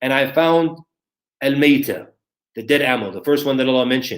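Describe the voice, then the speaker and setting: This man speaks very fast with an American accent, his fairly high pitch varying in an ordinary way. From USA. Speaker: Islamic scholar and lecturer. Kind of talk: religious lecture.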